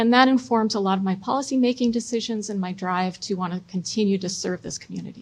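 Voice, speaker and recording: Somewhat breathy and in an American accent, a woman speaks at a medium pitch with ordinary pitch variation. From US Midwest (Chicago, Michigan). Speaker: city council president and mayoral candidate. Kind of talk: debate opening statement.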